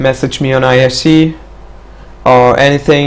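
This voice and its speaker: A man with a non-native accent, medium pitch and moderate pace, with noticeable background noise. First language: not English. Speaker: mapping tutorial maker. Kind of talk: tutorial. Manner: hesitant, many fillers.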